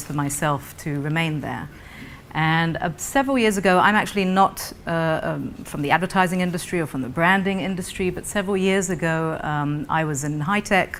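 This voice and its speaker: A woman's fairly low voice at a fairly quick pace, with ordinary pitch variation and audible room echo. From Britain, raised mostly in Israel. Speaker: non-profit founder, panelist. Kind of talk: conference panel presentation.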